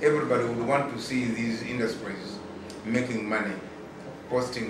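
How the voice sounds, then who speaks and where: With noticeable background noise and audible room echo around him, a man keeps a moderate pace. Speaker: consumer rights advocate. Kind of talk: interview. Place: office.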